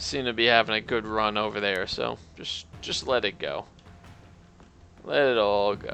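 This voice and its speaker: Over music in the background, a man talks quietly, leaving long, frequent pauses. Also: fairly slow pace. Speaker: game streamer. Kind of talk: live gameplay commentary. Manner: casual, meandering.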